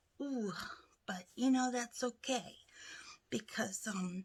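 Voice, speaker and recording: A soft-spoken woman with a high pitch, talking at a very slow pace. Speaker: craft vlogger. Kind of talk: casual chat. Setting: home craft room. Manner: chatty, filler-heavy.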